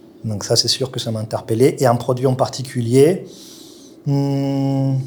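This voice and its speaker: With music in the background, a man speaks very slowly at medium pitch, his intonation fairly even and his loudness swinging widely. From Colombia. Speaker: chef. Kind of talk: interview. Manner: hesitant, many fillers.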